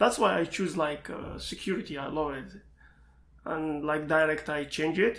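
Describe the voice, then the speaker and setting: This man speaks with an Iraqi accent. His pitch sits fairly high. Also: ordinary pitch variation, moderate pace. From Iraq, Baghdad. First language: Arabic. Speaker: information security student and pentester. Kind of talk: interview. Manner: halting.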